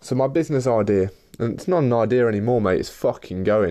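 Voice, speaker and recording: Fairly quick and dark, mellow in tone, a man with an East Midlands accent speaks at a medium pitch with ordinary pitch variation. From Leicester, English Midlands. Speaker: podcast host and business founder. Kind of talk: casual solo monologue. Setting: in his room.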